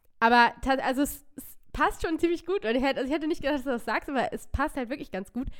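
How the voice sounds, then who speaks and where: Talking at a very fast pace, a woman uses a high pitch and lively intonation. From northern Germany, near Hannover. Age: 20s. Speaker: podcast co-host. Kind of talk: casual chat.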